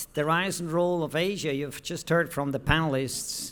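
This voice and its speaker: Recorded very cleanly with a silent background, a man talks at a moderate pace. He has an ordinary speaking voice with a fairly high pitch. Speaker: professor presenting research at a conference. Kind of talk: conference presentation.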